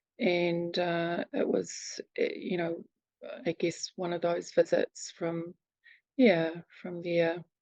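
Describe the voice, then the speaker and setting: A woman with a New Zealand accent at a very slow pace, ordinary pitch variation, in a dry, close sound with no echo. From New Zealand, near Wellington. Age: 60s. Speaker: abuse survivor and advocate. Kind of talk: testimony. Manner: halting.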